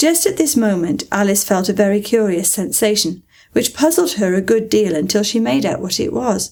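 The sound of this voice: The speaker reads in an unforced reading voice, with lively intonation.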